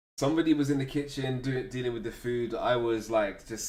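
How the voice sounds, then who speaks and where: With audible room echo, a man talks at a fairly quick pace with a medium pitch. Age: 20s. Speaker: live streamer. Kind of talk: casual chat. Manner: animated.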